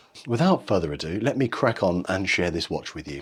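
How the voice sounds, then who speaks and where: This is a man speaking with a British accent. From England. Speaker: watch reviewer, channel owner. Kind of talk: product review.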